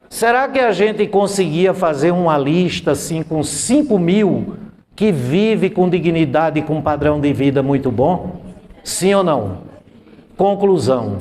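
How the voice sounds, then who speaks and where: A man talks at a very slow pace, using a high pitch with lively intonation and very even loudness. Audible room echo and noticeable background noise surround his voice. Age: 60s. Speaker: math teacher. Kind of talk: classroom lecture.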